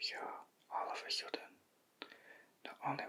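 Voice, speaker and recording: A man is whispering. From Yorkshire, England. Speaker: shiatsu practitioner. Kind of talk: ASMR bedtime story. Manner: whispered.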